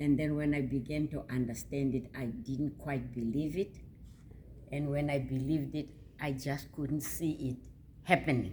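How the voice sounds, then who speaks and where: With vocal fry and a dark, mellow tone, a woman talks at a moderate pace in a very deep, low pitch. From South Africa. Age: 80s+. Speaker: author. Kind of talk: interview. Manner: halting, with repetitions.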